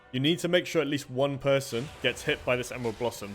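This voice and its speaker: The man's delivery is very fast. Background music can be heard. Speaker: video game guide creator. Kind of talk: tutorial. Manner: casual, frequent fillers.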